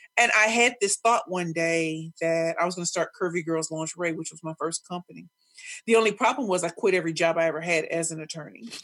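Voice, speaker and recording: A woman with an American accent talks at a very fast pace in a fairly low voice. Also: ordinary pitch variation, big swings in loudness. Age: 40s. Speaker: professional speaker and pitch coach. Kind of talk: casual interview. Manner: energetic.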